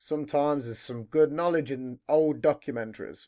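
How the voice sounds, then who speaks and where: Here is a man with a British accent. He speaks at a moderate pace. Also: very clean recording, silent background. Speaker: podcast host. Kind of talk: casual chat interview. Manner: swears a lot.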